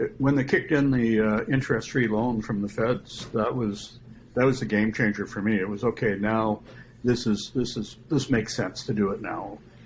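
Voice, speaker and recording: A man talks in an unremarkable speaking voice at a medium pitch. His pace is moderate and his pitch varies in an ordinary way. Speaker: solar customer, retired computer professional. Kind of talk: casual interview. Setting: podcast.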